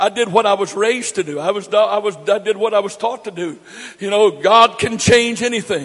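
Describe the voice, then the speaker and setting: A man with an American accent talks at a fairly quick pace, his pitch high for a man with ordinary variation. Noticeable background noise runs underneath. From US, grew up moving around as a Navy child. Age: 60s. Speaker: pastor. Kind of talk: sermon. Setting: church. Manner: emphatic, repetitive.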